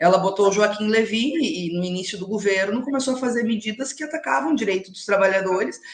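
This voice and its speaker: A woman speaks at a fairly high pitch and a fairly quick pace. Her intonation is lively, and background noise is noticeable. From Rio Grande do Sul, Alegrete (southern Brazil). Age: young. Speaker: politician. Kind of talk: live interview.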